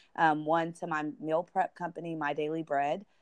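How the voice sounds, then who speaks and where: A woman's very deep, low voice at a moderate pace against a quiet background. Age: 20s. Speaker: business owner and podcast guest. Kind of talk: testimony.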